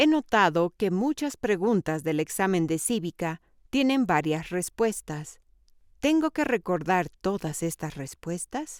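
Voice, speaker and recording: Very wide pitch swings from a woman at medium pitch, a fairly slow pace, and a dry, close sound with no echo on a very clean recording with a silent background. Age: 60s. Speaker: sample applicant asking questions. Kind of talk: scripted question.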